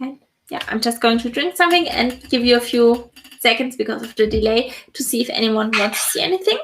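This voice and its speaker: A woman speaks at a fairly quick pace. Her pitch is high, with ordinary pitch variation. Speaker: productivity software consultant. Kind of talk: live stream tutorial.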